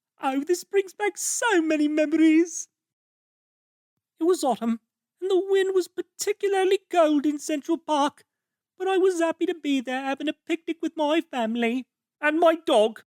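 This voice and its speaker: A cartoonish character voice with an extremely high pitch delivers its lines at a moderate pace. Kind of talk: cartoon voice acting. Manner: bubbly, silly, rambling.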